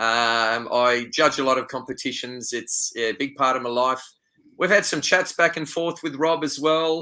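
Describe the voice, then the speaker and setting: In a very clean recording with a silent background, a man with an Australian accent speaks in a bright, sharp tone, his pitch fairly high and ordinarily varied. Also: moderate pace. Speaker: wildlife photographer and tour leader. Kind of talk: interview conversation.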